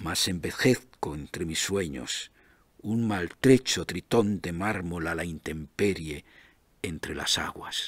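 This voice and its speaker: Over a quiet background, a man with a very deep, low pitch talks at a very slow pace with ordinary pitch variation, the sound dry and free of echo. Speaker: poet. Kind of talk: poetry reading. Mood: calm, reflective. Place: studio. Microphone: studio mic.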